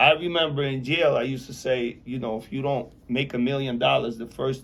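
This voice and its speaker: With a normal speaking voice, a man talks at a fairly quick pace and medium pitch, keeping his intonation fairly even. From Belarus, Soviet Union; immigrated to US at nine. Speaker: real estate developer, formerly incarcerated. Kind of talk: interview.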